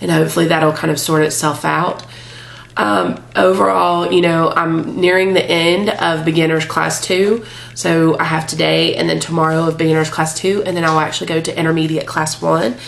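A woman speaks at a moderate pace in a very deep, low voice with ordinary pitch variation and very even loudness over noticeable background noise. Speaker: vlogger documenting a fitness trial. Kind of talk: casual video blog. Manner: casual, with frequent filler words.

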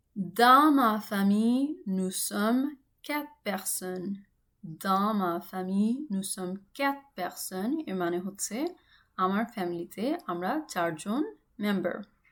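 The woman has an ordinary speaking voice. Her medium pitch carries lively intonation. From Bangladesh. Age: 30s. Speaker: language teacher. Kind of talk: tutorial.

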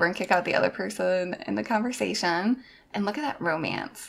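A woman speaks, and noticeable background noise can be heard along with her. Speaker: gaming youtuber. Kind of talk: gameplay commentary. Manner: casual, chatty with fillers.

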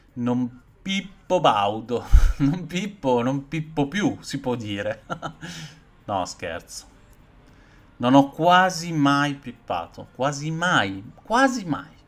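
A man speaks very slowly at a fairly high pitch, his voice swinging very widely in pitch, with long, frequent pauses. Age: 40s. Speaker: horror film youtuber. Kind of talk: live stream film review chat. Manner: animated; halting. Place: home room. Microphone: webcam.

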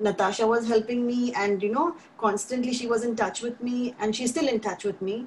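A woman talks at a fairly quick pace with hardly any pauses, her voice fairly high and her intonation fairly even. Noticeable background noise runs behind her. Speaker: mother. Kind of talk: testimony. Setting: video call.

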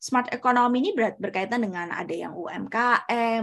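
A woman talks at a moderate pace with ordinary pitch variation, and the background is quiet. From Indonesia, Surabaya; East Java, Indonesia. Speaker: researcher and doctoral student; presenter. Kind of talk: lecture. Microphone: video call.

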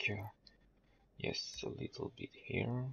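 In a French accent, a man speaks at a very slow pace. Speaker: video game tutorial creator. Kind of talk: game tutorial voice-over. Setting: low-quality home microphone, quiet. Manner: hesitant, many filler sounds.

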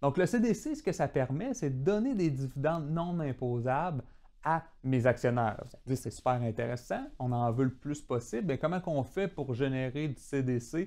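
Ordinary pitch movement in a man's voice, fairly high in range and dark and mellow in tone. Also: fairly slow pace. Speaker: financial advisor explaining insurance and tax. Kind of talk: tutorial. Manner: repeats words, some hesitation.

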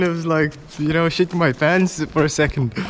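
A man with a high voice talks at a moderate pace over light background noise. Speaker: travel vlogger. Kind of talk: casual vlog chat. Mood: awed, excited. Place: tunnel cave. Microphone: phone near.

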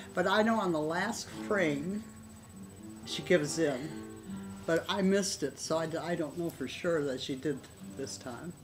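Over clear music in the background, a woman with a fairly low pitch speaks at a fairly slow pace with lively intonation and long, frequent pauses. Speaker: grandmother interviewee. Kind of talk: interview answer. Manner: hesitant, rambling. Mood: chatty, amused retelling. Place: home room. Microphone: webcam.

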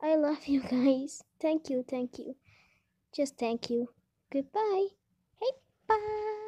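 Soft-spoken delivery at a very slow pace, with very wide pitch swings, long, frequent pauses and a quiet background. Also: woman, high pitch for a woman. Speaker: small YouTuber. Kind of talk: casual thank-you message to viewers. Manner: quiet, soft-spoken. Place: home room.

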